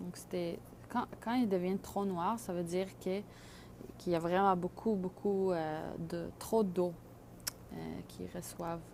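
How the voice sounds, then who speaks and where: A woman speaks at a very slow pace, leaving long, frequent pauses. Her fairly low voice keeps a fairly even intonation. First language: not French (speaking French). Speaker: microgreens grower. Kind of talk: tutorial. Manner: halting, many fillers.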